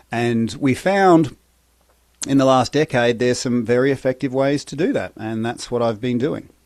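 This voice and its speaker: Medium pitch from a man with an Australian accent, ordinary pitch variation, and a moderate pace. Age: 50s. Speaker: breathwork and recovery coach, former soldier. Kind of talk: podcast interview.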